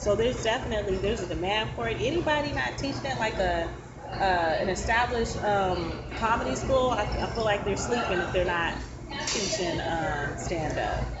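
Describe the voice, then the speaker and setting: A woman speaks at a moderate pace and medium pitch with lively intonation. Noticeable background noise and audible room echo are present. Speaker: stand-up comedian and co-host. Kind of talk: casual chat.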